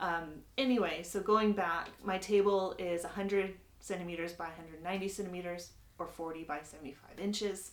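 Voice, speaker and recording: A woman with an American accent speaks at a medium pitch with fairly even intonation. Her loudness swings widely, and the room echo is audible. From United States. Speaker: sewing instructor. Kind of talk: tutorial. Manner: casual, with many filler words.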